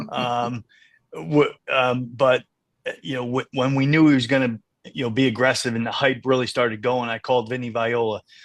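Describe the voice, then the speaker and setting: Dry, close sound with no echo over a quiet background. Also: man, medium pitch for a man, moderate pace. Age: 60s. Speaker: racehorse owner. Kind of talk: podcast interview. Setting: podcast. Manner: halting, many fillers and repeats.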